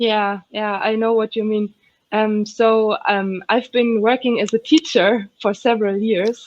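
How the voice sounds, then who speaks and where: Her voice fairly high, a woman speaks at a fairly slow pace with monotone, flat intonation. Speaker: software developer and conference speaker. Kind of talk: Q&A interview answers. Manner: hesitant, many fillers.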